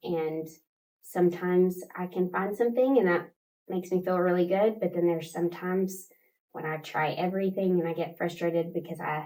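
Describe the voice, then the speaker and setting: With an American accent, a woman speaks at a fairly quick pace in a dark, mellow tone, her fairly low pitch held in fairly even intonation. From West Texas, Midland area. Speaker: pre-K teacher. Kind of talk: interview.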